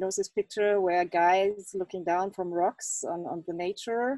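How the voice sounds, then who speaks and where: A woman's dark, mellow, medium-pitched voice with a non-native accent at a moderate pace, dry and close with no echo against a quiet background. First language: not English. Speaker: exhibiting artist. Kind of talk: Q&A at online exhibition opening. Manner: halting.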